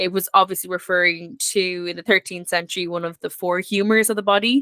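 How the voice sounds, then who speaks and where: A woman with an Irish accent speaks at a fairly quick pace in a medium pitch, her bright, sharp tone captured as a dry, close sound with no echo. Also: fairly even intonation. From Ireland. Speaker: historian guest. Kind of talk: casual chat.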